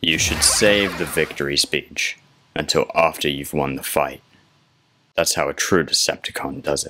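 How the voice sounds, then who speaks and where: A man does a raspy put-on character voice with a very deep, low pitch. He moves at a moderate pace. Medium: machinima. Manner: calm, cold, sardonic.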